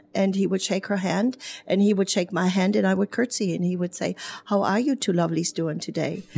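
A woman speaks in a German accent at a medium pitch. Her intonation stays fairly even. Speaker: hairdresser and business owner. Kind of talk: radio interview. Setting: studio.

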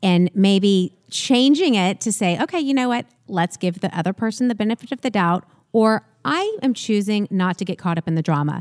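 A woman's unremarkable speaking voice at medium pitch, moderate in pace with lively intonation, dry and close with no echo on a very clean recording with a silent background. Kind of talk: casual interview chat.

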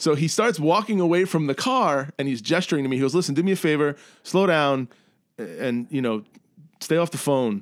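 With a Brooklyn accent, a man talks at a fairly quick pace in a fairly high voice. His intonation is lively, and the recording is very clean with a silent background. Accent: New York (Brooklyn). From New York, Brooklyn. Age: 40s. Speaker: actor and improviser. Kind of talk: casual chat.

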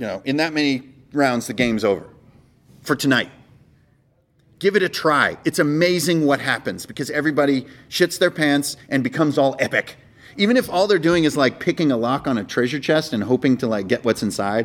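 Fairly high in pitch, a man talks at a fairly quick pace. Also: lively intonation. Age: 40s. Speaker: game master and convention panelist. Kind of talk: convention panel talk. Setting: stage with audience. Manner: high energy.

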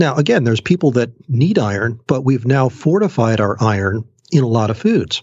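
Somewhat breathy, the voice moves at a moderate pace through very wide pitch swings. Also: man. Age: 60s. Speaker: genetics researcher and naturopath. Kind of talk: interview.

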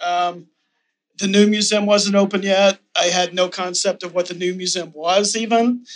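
Moderately paced speech with an American accent. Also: man. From Texas. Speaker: gallery owner. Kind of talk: panel discussion. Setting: stage with audience.

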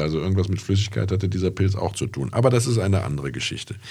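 A man's very deep, low pitch with vocal fry, lively intonation and a very fast pace. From Rhineland, Germany (Andernach). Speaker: classic car podcast host. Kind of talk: casual chat. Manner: hesitant, many fillers.

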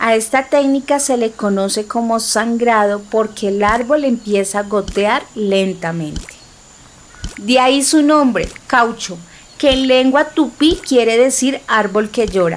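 Over noticeable background noise, a woman with a fairly high pitch speaks at a fairly slow pace, her loudness very even and her pitch variation ordinary. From Bogotá, Colombia. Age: 30s. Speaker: podcast narrator, political scientist. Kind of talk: scripted narration.

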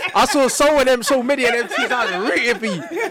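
Over noticeable background noise, a man talks at a very fast pace in an animated tone. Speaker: social media commentator. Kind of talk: casual chat. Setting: studio.

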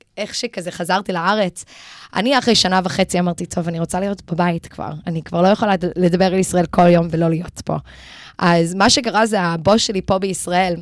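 A woman with a non-native accent speaks at a moderate pace in a fairly low pitch, her intonation fairly even. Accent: non-native Hebrew. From Los Angeles, US, then Israel from age nine. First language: English (speaking Hebrew). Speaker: Israel advocacy educator. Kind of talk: radio interview. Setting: radio studio. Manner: code-switching Hebrew and English.

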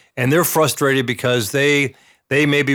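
At a moderate pace, a man with a medium pitch talks in a flat monotone, recorded very cleanly over a silent background. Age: 60s. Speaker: real estate agent. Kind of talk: casual interview. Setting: studio.

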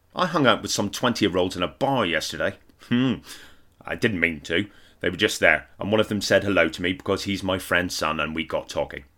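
A man's fairly low voice with a bright, sharp tone, English accent, ordinary pitch variation and fairly quick pace. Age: 40s. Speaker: comedian. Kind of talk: reading aloud; casual chat.

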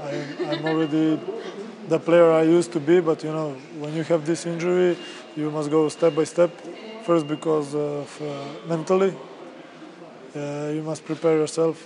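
A man with a Serbian accent speaks fairly slowly in a monotone, flat delivery at a fairly high pitch, with noticeable background noise behind him. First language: Serbian (speaking German). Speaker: basketball player. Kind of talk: interview.

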